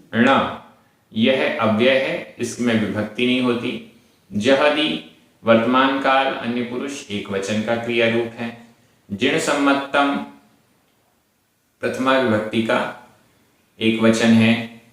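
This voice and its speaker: This man's voice sits at a medium pitch with fairly even intonation. Long, frequent pauses break up his speech, and room echo is audible. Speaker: Prakrit language teacher. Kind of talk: lecture.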